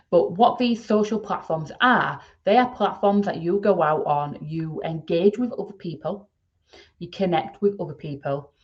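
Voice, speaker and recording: With a Yorkshire accent, a woman speaks in a somewhat breathy voice with ordinary pitch variation. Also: medium pitch for a woman, moderate pace. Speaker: podcast host, email marketing expert. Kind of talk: solo podcast talk.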